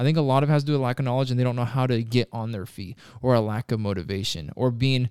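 A man talks very fast at medium pitch with ordinary pitch variation. The recording is very clean, with a silent background. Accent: Pacific Northwest. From Washington State, near Tacoma. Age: 20s. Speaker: warehouse operations manager. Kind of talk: casual interview.

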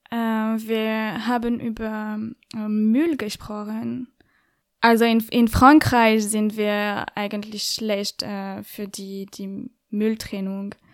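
The delivery is monotone and flat at a very slow pace, with big swings in loudness. The recording is very clean, with a silent background. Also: woman, fairly high pitch for a woman. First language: French (speaking German). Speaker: podcaster and journalist. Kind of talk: interview. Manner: halting, many fillers.

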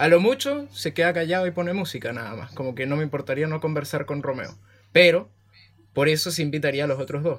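This man's pitch is fairly high. He speaks at a very fast pace. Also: ordinary pitch variation. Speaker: podcast host. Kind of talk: casual chat.

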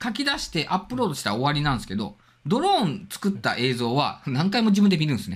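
Speaking at a very fast pace, a man's voice moves through very wide pitch swings. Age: 40s. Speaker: drone hobbyist. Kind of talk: casual chat.

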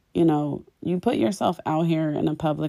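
A woman's very deep, low voice in an American accent, dark and mellow in tone, at a moderate pace with ordinary pitch variation. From Philadelphia. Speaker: interior designer and podcast host. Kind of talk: solo podcast monologue. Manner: casual, with fillers.

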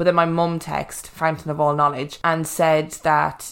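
A woman with an Irish accent, very deep and low in pitch, in a monotone, flat intonation. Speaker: podcast host. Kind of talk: casual chat.

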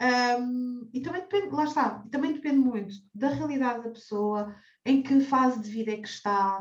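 This woman's voice is high-pitched and her intonation lively. She takes a fairly slow pace. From Portugal, Cascais. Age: 30s. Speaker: personal finance advisor. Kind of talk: interview. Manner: halting, frequent repetitions.

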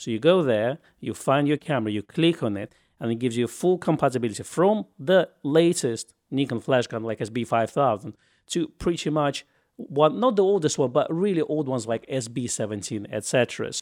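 A man with a normal speaking voice talks fairly quickly at a fairly high pitch, with lively intonation. The sound is dry and close, with no echo. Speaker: camera news podcast host. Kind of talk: casual news roundup podcast.

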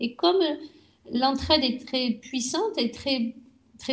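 With ordinary pitch variation, a woman talks very slowly. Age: 60s. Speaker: retired restaurant worker. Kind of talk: interview. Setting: at her home.

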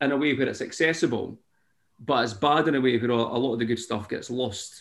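A man speaks at a medium pitch with a Scottish accent. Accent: Scottish (Fife). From Scotland, Fife. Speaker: singer-songwriter. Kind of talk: casual interview chat.

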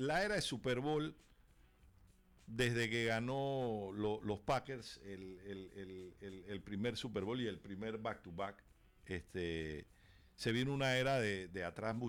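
On a very clean recording with a silent background, a man speaks at a very slow pace with lively intonation. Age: 50s. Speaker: sports radio co-host. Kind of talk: sports radio talk show. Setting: radio studio. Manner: halting, with many repeated words.

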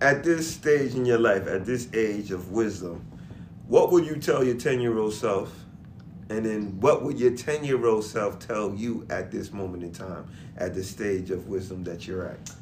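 A man's normal speaking voice, fairly low in pitch, with lively intonation, a moderate pace and big swings in loudness. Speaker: podcast host. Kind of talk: casual chat.

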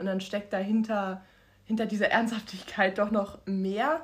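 A woman speaks at a moderate pace with a fairly high pitch. Her voice is somewhat breathy. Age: 20s. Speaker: podcast co-host. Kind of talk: casual chat.

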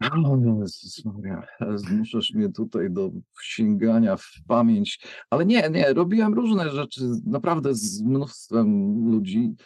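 At a very slow pace, a man speaks at medium pitch, his voice making very wide pitch swings. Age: 50s. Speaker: music producer. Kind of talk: casual chat. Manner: halting.

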